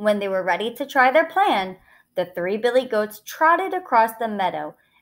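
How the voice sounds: Natural voice of someone reading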